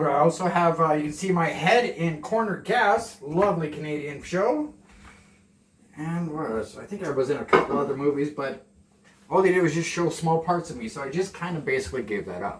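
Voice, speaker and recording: A man speaks quite quickly in a fairly high register, his intonation lively, with noticeable background noise behind him. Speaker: vlogger. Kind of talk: cooking tutorial. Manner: casual.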